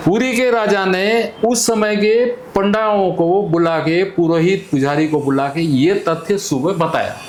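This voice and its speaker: A man speaks at a high pitch with ordinary pitch variation, very even loudness and hardly any pauses. Audible room echo and noticeable background noise are present. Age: 70s. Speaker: community elder. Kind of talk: interview storytelling.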